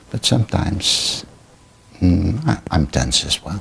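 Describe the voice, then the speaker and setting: Noticeable background noise surrounds a man speaking at a fairly slow pace. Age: 70s. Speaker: Buddhist meditation teacher. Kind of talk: interview. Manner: halting.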